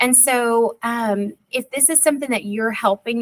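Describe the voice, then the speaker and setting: With an East Texas accent, a woman speaks at a moderate pace with ordinary pitch variation, in a dry, close sound with no echo. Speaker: school district literacy coordinator. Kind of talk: parent workshop presentation. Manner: casual, with frequent fillers.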